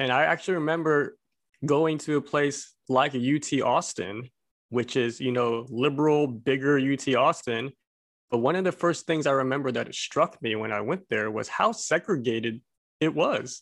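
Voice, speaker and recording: A man with an American accent and a normal speaking voice, fairly high in pitch with ordinary pitch variation, at a moderate pace over a quiet background. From Texas (Abilene), Korean American. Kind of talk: casual discussion.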